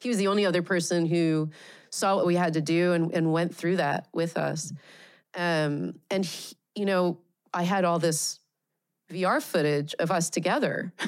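Speaking with an American accent in an ordinary speaking voice, a woman with a fairly low pitch keeps a moderate pace, fairly even intonation and very even loudness on a very clean recording with a silent background. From Pennsylvania, US. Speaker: VR director and researcher. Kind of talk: interview conversation.

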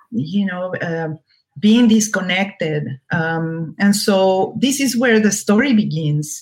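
With a Spanish accent, a woman talks at a very slow pace, her voice somewhat breathy and her intonation lively. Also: medium pitch for a woman. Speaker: novelist. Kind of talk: interview. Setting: video call. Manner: halting.

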